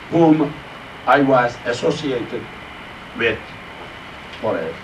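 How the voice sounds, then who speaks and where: Speaking at a very slow pace, a man uses a fairly high pitch. Audible room echo and noticeable background noise fill the recording. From Turkey, Sakarya province. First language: Turkish. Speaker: Islamic scholar and Quran teacher. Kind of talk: lecture. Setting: mosque class. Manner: halting.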